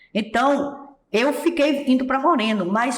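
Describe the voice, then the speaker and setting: A woman speaks in a high voice, with audible echo from the room. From Pernambuco, Brazilian Northeast. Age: 70s. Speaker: singer and accordionist. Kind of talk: interview.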